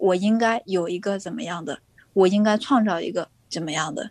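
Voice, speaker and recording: With a very clean recording and a silent background, a woman talks at a moderate speed. Her pitch varies in an ordinary way. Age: 20s. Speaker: young mother, social media creator. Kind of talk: interview.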